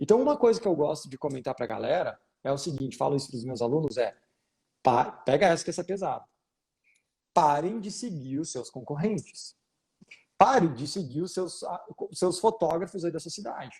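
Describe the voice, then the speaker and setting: Long, frequent pauses break up a man's high-pitched speech, which has lively intonation. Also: moderate pace. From Rio Grande do Sul, southern Brazil. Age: 30s. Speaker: photography business mentor, wedding photographer. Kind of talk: live Q&A coaching session. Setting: Instagram live video call. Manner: animated, informal.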